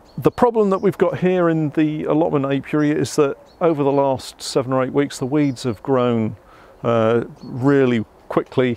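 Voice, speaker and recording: A man speaks at a moderate pace with ordinary pitch variation. The sound is dry with no echo. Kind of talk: tutorial. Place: garden.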